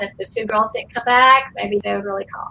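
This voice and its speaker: With a Southern US accent, a woman talks at a very fast pace. Her pitch is fairly high. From US South, Georgia (Atlanta area). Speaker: actress. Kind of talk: interview, storytelling. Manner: conversational with frequent fillers.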